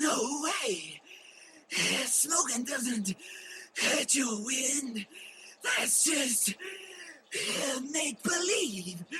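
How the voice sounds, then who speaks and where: A man puts on a cartoonish character voice, pitched extremely high, speaking very slowly with long, frequent pauses. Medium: puppet show.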